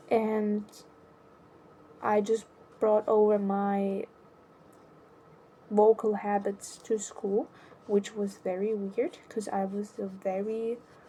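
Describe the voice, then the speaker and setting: A woman at medium pitch, very slow and monotone, with flat intonation and long, frequent pauses. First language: not English. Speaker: vlogger. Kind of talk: personal monologue. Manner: halting.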